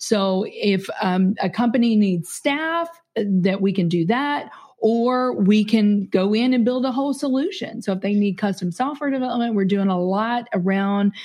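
This woman has a fairly high voice with a dark, mellow tone and an American accent. She talks at a moderate pace and sounds somewhat breathy. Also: ordinary pitch variation, quiet background. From Kentucky, US South. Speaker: business CEO and podcaster. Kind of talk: casual interview conversation.

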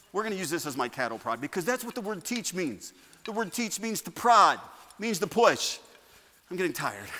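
Animated and fairly quick, a man uses a raised, projected voice with a high pitch, very wide pitch swings and a bright, sharp tone. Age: 50s. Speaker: pastor. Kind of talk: sermon. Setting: church. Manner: animated, excitable preacher who gets carried away; conversational, humorous, with direct appeals to the congregation.

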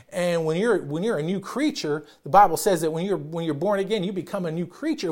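Loud and very fast, a man with a high pitch and ordinary pitch variation comes through on a very clean recording with a silent background. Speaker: pastor. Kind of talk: sermon. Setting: church. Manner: loud talker; hesitant, repeats words.

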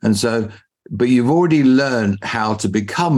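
This man speaks with an English accent. His pitch varies in an ordinary way. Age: 60s. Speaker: business mentor. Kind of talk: interview. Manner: formal.

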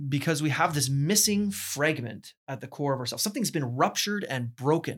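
On a very clean recording with a silent background, a man with a Canadian accent talks at a fairly quick pace, with vocal fry and ordinary pitch variation. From Ontario, Canada (Burlington). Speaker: university president. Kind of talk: interview conversation.

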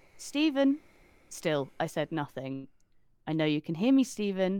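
A woman's voice with very wide pitch swings, on a very clean recording with a silent background. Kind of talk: ghost story telling, reading aloud a first-person account.

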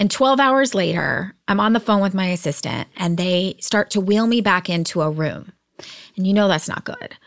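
A woman with a normal speaking voice talks at a moderate pace and medium pitch, with ordinary pitch variation. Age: 40s. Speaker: entrepreneur, artist and cancer survivor. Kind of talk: casual interview conversation.

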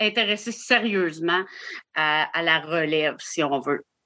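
A woman's bright, sharp tone comes through at a fairly slow pace with ordinary pitch variation over a quiet background. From Quebec, Île d'Orléans. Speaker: campground owner. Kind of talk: interview conversation.

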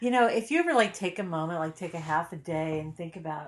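Ordinary pitch variation and a fairly quick speed in an unremarkable speaking voice. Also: woman, quiet background. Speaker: podcast co-host. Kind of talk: casual chat, TV recap podcast.

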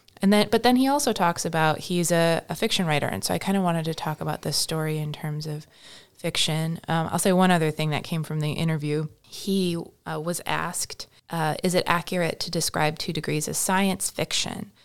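Speaking at a fairly quick pace, a woman has a fairly low pitch, ordinary pitch variation and an unremarkable speaking voice. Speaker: podcast host and librarian. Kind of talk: casual chat about a book.

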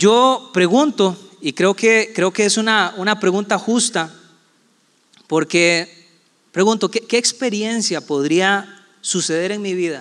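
Speaking very slowly with a Costa Rican accent, a man uses a high pitch and ordinary pitch variation. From Costa Rica, San José and Puerto Viejo de Sarapiquí. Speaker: pastor. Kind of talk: sermon.

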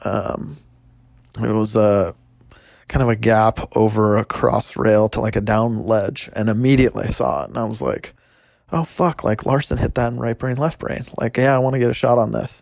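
Here a man talks in a normal speaking voice at a medium pitch. His pace is moderate and his pitch variation ordinary. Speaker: skier and friend. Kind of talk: casual recollection.

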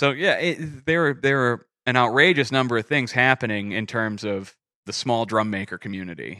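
Against a quiet background, a man with an American accent talks at a moderate pace in a bright, sharp tone with lively intonation. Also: medium pitch for a man. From Exeter, New Hampshire (US). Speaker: custom drum maker. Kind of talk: casual interview. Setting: woodworking shop.

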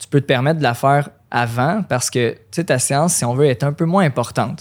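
A man speaks with a Quebec accent and ordinary pitch variation. The recording is very clean, with a silent background. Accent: Québécois French. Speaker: running coach and elite runner. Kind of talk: casual interview.

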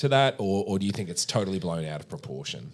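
A man is speaking. He has an Australian accent. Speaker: political economist and podcast host. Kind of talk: casual interview chat; scripted introduction. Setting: recorded in Washington, D.C.

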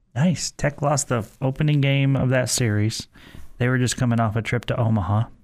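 A man speaks in an ordinary speaking voice at a medium pitch, with ordinary pitch variation and a fairly quick pace. The recording is very clean, with a silent background. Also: very even loudness. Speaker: radio host. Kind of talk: casual sports talk radio chat. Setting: radio studio.

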